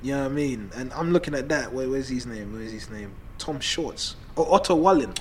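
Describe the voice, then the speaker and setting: A man with a medium-pitched voice talks at a fairly quick pace with ordinary pitch variation and big swings in loudness, and the room echo is audible. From Ghanaian heritage. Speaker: boxing podcast co-host. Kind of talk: casual chat.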